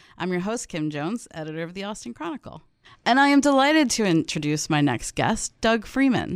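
A woman at medium pitch talks at a fairly quick pace, with very wide pitch swings and big swings in loudness. The recording is very clean, the background silent. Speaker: radio host and newspaper editor. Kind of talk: radio interview. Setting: studio.

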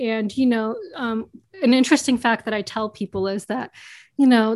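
With an American accent and a normal speaking voice, a woman talks at a fairly high pitch with fairly even intonation over a quiet background. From US, New York. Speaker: board game video creator. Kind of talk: interview.

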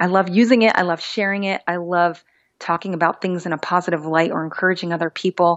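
A woman speaks in a plain, everyday voice. Her pace is fairly quick. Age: 30s. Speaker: beauty pageant titleholder and TV host. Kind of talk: casual interview.

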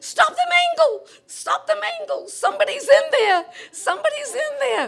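An extremely high, shrill put-on character voice with very wide pitch swings. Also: moderate pace. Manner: screeching, panicked.

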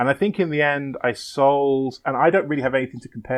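A man with an English accent talks with ordinary pitch variation. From England. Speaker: guest, comics creator. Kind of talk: casual chat.

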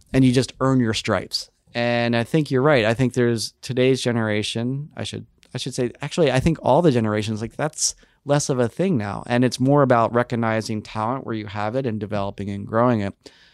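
This man talks at a fairly quick pace, with medium pitch and ordinary pitch variation. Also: very clean recording, silent background. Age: 40s. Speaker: nonprofit chief operating officer. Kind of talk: interview. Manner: halting, frequent repetitions.

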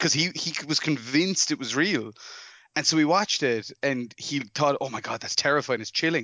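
With an Irish accent, a man speaks at a fairly high pitch and a moderate pace, with ordinary pitch variation. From Ireland. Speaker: film director. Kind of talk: casual chat.

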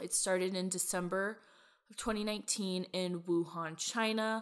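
A woman speaks at medium pitch and a moderate pace, with ordinary pitch variation and an ordinary speaking voice. The recording is very clean, with a silent background. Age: 20s. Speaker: podcast co-host. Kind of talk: casual chat. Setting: recording from quarantine at home.

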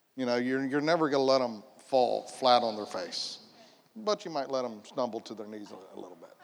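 An ordinary speaking voice from a man with an American accent, medium pitch, lively intonation, a fairly quick pace and big swings in loudness. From Polk County, Florida. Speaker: church panelist, stepfather. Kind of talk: panel discussion.

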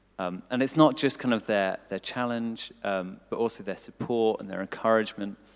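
With a southern English accent, a man speaks with hardly any pauses. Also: medium pitch for a man, ordinary pitch variation, moderate pace. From England, Cambridgeshire. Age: 20s. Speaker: church staff member and volunteer. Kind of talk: testimony in church interview. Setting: church service with audience.

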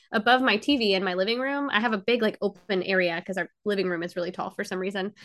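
A woman with an American accent speaks at a very fast pace with hardly any pauses. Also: medium pitch for a woman, ordinary pitch variation. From US state of Georgia. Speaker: princess party performer. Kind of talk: casual chat.

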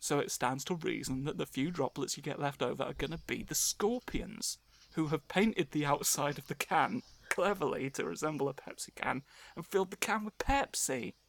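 A man with a fairly high pitch speaks at a moderate pace with lively intonation and vocal fry. The recording is very clean with a silent background and a dry, close sound with no echo. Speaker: podcast host. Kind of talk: casual chat.

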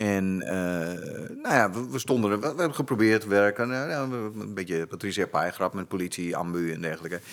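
A man uses a normal speaking voice at a fairly low pitch with lively intonation. He keeps a moderate pace with hardly any pauses. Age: 50s. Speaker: actor turned firefighter and instructor. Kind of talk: casual chat.

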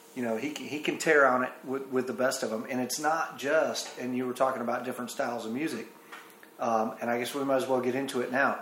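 Against noticeable background noise and audible room echo, a man with a Southern US accent talks at medium pitch and a fairly quick pace, with fairly even intonation. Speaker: podcast host and violinist. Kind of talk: casual interview chat.

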